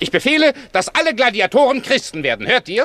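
A man performs a put-on character voice at an extremely high pitch with very wide pitch swings. His tone is fairly bright and his pace is fast.

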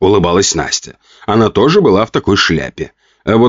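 Reading aloud in a natural voice, with ordinary pitch variation, against a quiet background

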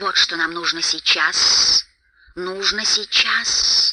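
This is a put-on character voice with a bright, sharp tone. It moves at a slow pace with ordinary pitch variation.

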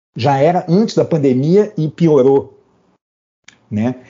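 Somewhat breathy, the voice moves at a very slow pace with lively intonation. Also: man. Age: 60s. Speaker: physician and public health researcher. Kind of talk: panel discussion. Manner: halting.

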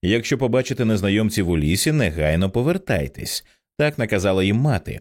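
The background is hushed. The speaker is reading aloud in a natural voice.

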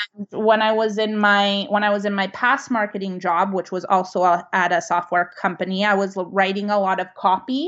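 A woman at medium pitch, moderate pace and fairly even intonation, with hardly any pauses. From Canada, Vancouver. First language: Italian. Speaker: food blogger. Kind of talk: casual chat.

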